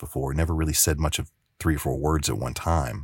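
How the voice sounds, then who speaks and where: A man speaks at a moderate pace with an American accent, his pitch very deep and low and his voice somewhat breathy. The intonation stays fairly even, and the recording is very clean with a silent background. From US South. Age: 40s. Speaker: actor and filmmaker. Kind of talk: casual podcast interview.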